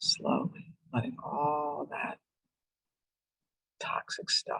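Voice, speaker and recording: A woman speaks in a calm tone, the sound dry and close with no echo. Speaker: psychologist leading a relaxation workshop. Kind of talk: guided relaxation exercise in a workshop. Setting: virtual workshop video call. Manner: hesitant, many fillers; slow, calm guided pacing. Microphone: voice may be cutting out.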